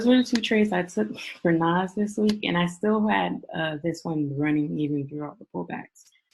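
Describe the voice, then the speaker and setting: Her voice is fairly low in pitch and somewhat breathy. This woman speaks with lively intonation. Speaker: forex trading mentor. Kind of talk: casual chat; tutorial. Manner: fast; casual, many fillers.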